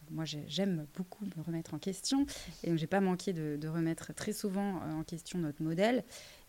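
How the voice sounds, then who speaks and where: This woman's voice sits fairly low in pitch. It carries a dark, mellow tone. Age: 30s. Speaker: entrepreneur. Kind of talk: interview. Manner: halting.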